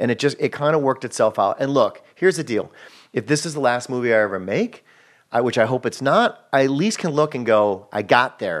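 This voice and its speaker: This is a normal speaking voice at a fairly quick pace, with ordinary pitch variation. The background is quiet. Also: man. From Wisconsin. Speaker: filmmaker and comedian. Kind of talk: casual interview chat. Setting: home garage studio.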